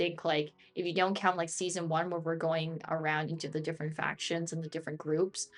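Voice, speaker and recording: This woman has an unremarkable speaking voice with a fairly low pitch and a moderate pace. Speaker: streamer. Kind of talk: live gameplay stream chat.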